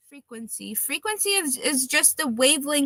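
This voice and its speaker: A woman's raised, projected voice, high and bright with a sharp tone, swinging very widely in pitch at a fairly slow pace, dry and close with no echo. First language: Russian. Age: 20s. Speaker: livestreamer, tarot card reader. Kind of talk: casual live stream chat. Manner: hesitant, with fillers and restarts.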